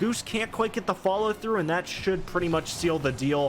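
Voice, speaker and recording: A man speaks with ordinary pitch variation. Noticeable background noise runs beneath his voice. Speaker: esports caster. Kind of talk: live commentary.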